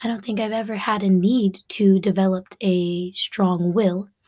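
A woman with an American accent speaks at a fairly slow pace in a dark, mellow, somewhat breathy tone with fairly even intonation. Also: very clean recording, silent background. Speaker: podcast host. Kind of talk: casual monologue.

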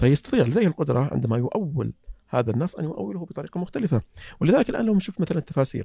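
The man's voice sits fairly high, with vocal fry and very wide pitch swings. He talks at a very fast pace, and the sound is dry and close with no echo. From Saudi Arabia, Eastern Province (Saihat, Qatif). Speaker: petroleum engineer and writer. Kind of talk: casual interview conversation. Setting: studio.

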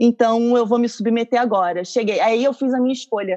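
Her pitch is high, and her tone is dark and mellow with fairly even intonation. This woman's voice sounds dry and close, with no echo. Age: 30s. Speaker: actress and astrologer. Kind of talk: casual chat.

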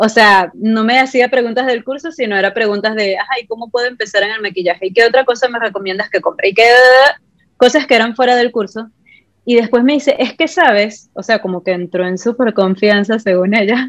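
A woman with an ordinary speaking voice, fairly high in pitch, with ordinary pitch variation and a fairly quick pace. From Venezuela, Puerto Ordaz (Ciudad Guayana). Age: 20s. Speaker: makeup artist and content creator. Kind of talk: casual interview chat.

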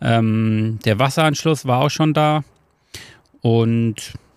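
The man talks at a medium pitch with ordinary pitch variation, on a very clean recording with a silent background. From Hesse, Germany (Marburg). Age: 30s. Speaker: carpenter. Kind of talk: casual interview. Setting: outdoors on a wooden terrace. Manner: hesitant, many filler sounds.

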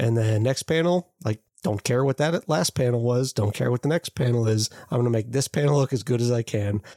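In an ordinary speaking voice, a man talks at a fairly quick pace and medium pitch with ordinary pitch variation and very even loudness, the sound dry and close with no echo. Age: 30s. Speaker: podcast co-host. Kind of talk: casual chat.

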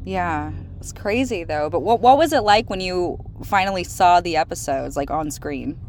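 At a moderate pace, the speech shows big swings in loudness over noticeable background noise. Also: woman. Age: 20s. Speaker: podcast host. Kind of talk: casual interview chat.

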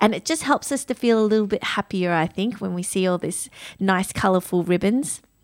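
Speaking at a fairly quick pace, a woman uses an ordinary speaking voice at medium pitch with ordinary pitch variation. The recording is very clean, with a silent background and a dry, close sound with no echo. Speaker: radio host. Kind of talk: radio dj patter, bantering with co-host. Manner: cheerful, warm, giggly.

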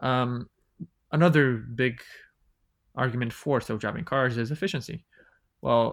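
A man with a Bulgarian accent speaks at a moderate pace, his pitch medium and his intonation fairly even. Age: 20s. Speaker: podcast guest. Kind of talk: casual chat.

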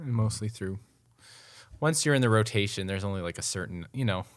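A man with an Upper Midwest accent at a very fast pace, broken by long, frequent pauses, in a very clean recording with a silent background. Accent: Upper Midwest (Minnesota). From Minnesota, Twin Cities suburbs. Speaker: photographer. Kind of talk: casual chat. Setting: studio.

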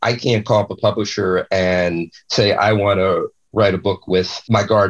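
Loudness stays very even as the voice moves at a moderate pace with monotone, flat intonation. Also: man, fairly low pitch for a man. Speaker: ghostwriter and author. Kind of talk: interview. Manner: talkative, open.

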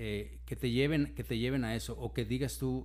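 A man's voice carries audible room echo. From Mexico, raised in Monterrey. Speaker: physician and medical teacher. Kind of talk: casual interview. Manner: halting, many fillers.

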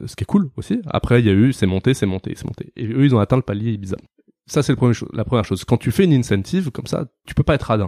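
A man talks at a very fast pace. His medium-pitched voice shows ordinary pitch variation. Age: 30s. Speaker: recruitment firm founder. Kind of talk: casual interview. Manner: hesitant, filler-heavy.

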